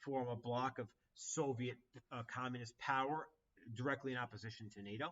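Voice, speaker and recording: A man with an ordinary speaking voice holds a medium pitch and fairly even intonation. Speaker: high school history teacher. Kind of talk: exam review livestream. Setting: livestream with chat. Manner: casual, conversational with fillers.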